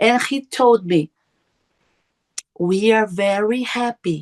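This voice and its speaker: A woman in a Portuguese accent, very slow and with lively intonation, in a dry, close sound with no echo. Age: 50s. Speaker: near-death experiencer. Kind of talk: testimony. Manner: halting.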